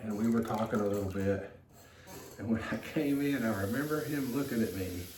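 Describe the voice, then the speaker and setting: The tone is relaxed, the pace moderate, and the pitch variation ordinary. Audible room echo and noticeable background noise come through. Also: man. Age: 60s. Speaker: potter. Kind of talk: casual chat. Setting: pottery studio. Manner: relaxed, hesitant.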